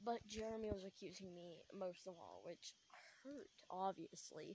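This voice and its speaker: Quiet and moderately paced, a woman speaks at a medium pitch with a dark, mellow tone. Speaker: podcaster telling a personal story. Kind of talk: casual storytelling.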